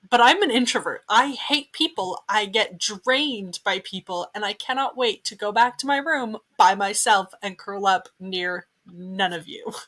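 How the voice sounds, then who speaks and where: A woman's loud, fairly high voice, bright and sharp in tone, at a fairly slow pace with ordinary pitch variation and a dry, close sound with no echo. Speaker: podcast co-host, Antarctica worker. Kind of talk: casual chat.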